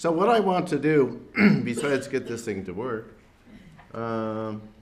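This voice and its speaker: A man of medium pitch speaks fairly slowly with lively intonation. Audible room echo and noticeable background noise fill the recording. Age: 60s. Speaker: professor, keynote speaker. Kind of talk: keynote lecture.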